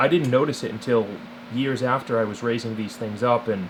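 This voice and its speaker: Over noticeable background noise, the speaker moves at a fairly quick pace with fairly even intonation. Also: man. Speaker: snake breeder. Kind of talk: casual talk to camera.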